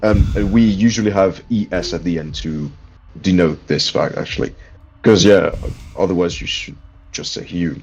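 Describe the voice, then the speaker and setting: In a French accent, the speaker keeps a moderate pace broken by long, frequent pauses. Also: man. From France. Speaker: gamer in voice chat. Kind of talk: casual chat.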